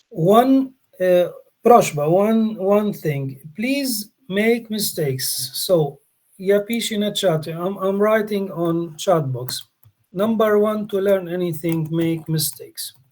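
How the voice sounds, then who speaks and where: Speaking with a Polish accent, a man uses a high pitch with ordinary pitch variation. His pace is very slow. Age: 40s. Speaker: English teacher, workshop leader. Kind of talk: online language workshop.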